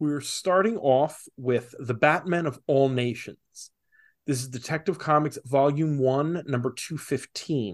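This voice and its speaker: Over a quiet background, a man with an unremarkable speaking voice talks at a fairly slow pace, fairly high in pitch with ordinary pitch variation. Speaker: podcast host. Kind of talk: casual chat.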